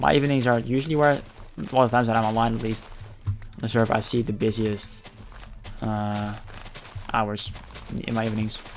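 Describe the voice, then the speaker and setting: With a Dutch accent and fairly even intonation, a man speaks with long, frequent pauses amid noticeable background noise and audible room echo. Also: medium pitch for a man, fairly quick pace. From Netherlands. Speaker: gaming streamer. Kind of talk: casual gameplay commentary. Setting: live stream. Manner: fast.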